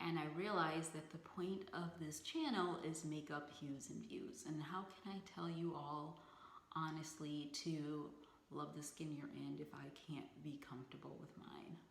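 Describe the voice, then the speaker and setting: A woman's very deep, low voice at a fairly slow pace, fairly even intonation, audible room echo. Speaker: beauty vlogger. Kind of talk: casual vlog talk to camera. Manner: halting, stuttering with ums.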